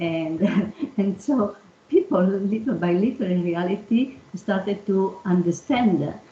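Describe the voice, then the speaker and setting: A woman speaks in an Italian accent at a medium pitch. Her pace is fairly slow, with ordinary pitch variation. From Italy. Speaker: engineering executive. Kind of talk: panel discussion. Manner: halting, many fillers.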